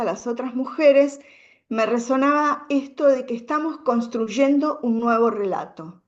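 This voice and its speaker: A woman talks at a fairly slow pace with a high pitch and ordinary pitch variation. Audible room echo surrounds her voice. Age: 60s. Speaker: women's circle speaker. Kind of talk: conference talk. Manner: halting.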